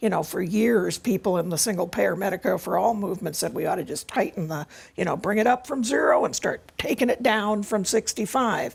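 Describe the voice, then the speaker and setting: A woman with a plain, everyday voice talks at a fairly quick pace with hardly any pauses, her pitch medium and its variation ordinary. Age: 60s. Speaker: healthcare activist. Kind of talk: panel discussion.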